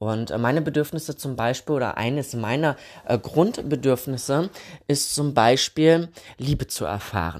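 Speaking at a fairly slow pace, a man with a medium pitch shows ordinary pitch variation. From Thuringia, Germany. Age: 30s. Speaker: podcast host. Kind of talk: casual solo podcast talk. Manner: hesitant, many filler sounds.

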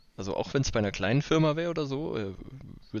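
A man with lively intonation. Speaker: podcast co-host. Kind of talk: casual chat. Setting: remote recording on holiday. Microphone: worse recording quality while on holiday.

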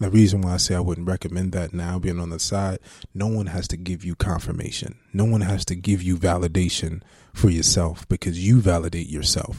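A man talks fairly quickly at a very deep, low pitch in a dark, mellow tone. His intonation is monotone and flat, and the recording is very clean with a silent background. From Jersey City, New Jersey. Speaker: actor. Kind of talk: casual interview.

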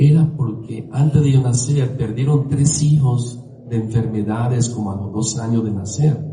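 Speech at a fairly slow pace with ordinary pitch variation comes through noticeable background noise. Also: man. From Syria and Lebanon, then Venezuela. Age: 70s. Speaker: Hare Krishna devotee and speaker. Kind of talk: talk to a temple gathering. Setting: temple with audience.

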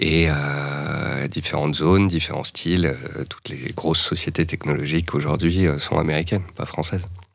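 A man talks at a moderate pace in a very deep, low pitch with fairly even intonation and hardly any pauses. Noticeable background noise is present. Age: 30s. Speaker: stock market analyst. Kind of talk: casual interview.

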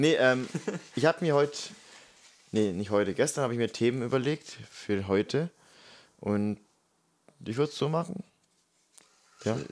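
A man's medium-pitched voice with lively intonation and long, frequent pauses. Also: moderate pace. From Germany. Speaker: podcast co-host, kindergarten teacher. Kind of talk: casual chat. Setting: in person, same room.

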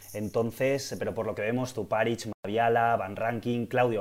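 This man talks at a fairly quick pace in a fairly low pitch. He has an ordinary speaking voice. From Valencia, Spain. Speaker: football podcast co-host. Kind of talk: casual chat.

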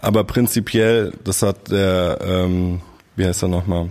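The man's intonation is monotone and flat. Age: 30s. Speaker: podcast host. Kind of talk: casual chat.

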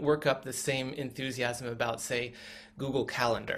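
Moderate pace and fairly even intonation from a man at medium pitch, in an ordinary speaking voice. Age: 40s. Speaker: former tech worker, spiritual community member. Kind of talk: interview. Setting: video call.

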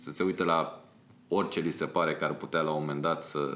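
A man speaks with a very deep, low pitch. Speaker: music video director. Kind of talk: podcast interview. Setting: studio. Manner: halting.

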